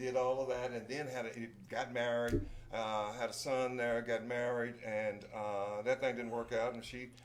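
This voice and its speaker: The delivery is monotone and flat, at a moderate pace. Room echo is audible. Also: man, medium pitch for a man. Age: 60s. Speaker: retired teacher and actor, Vietnam veteran. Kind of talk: casual chat.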